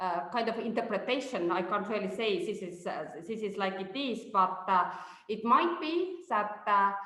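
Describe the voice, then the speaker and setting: A woman's medium-pitched voice with lively intonation, amid noticeable background noise and audible room echo. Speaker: researcher. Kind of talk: webinar presentation. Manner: slow; halting, many fillers.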